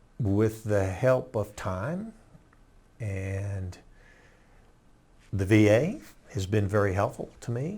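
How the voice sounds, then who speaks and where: A man's somewhat breathy voice at a very slow pace, with long, frequent pauses and ordinary pitch variation, on a very clean recording with a silent background. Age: 70s. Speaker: war veteran. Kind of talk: interview testimony. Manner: halting.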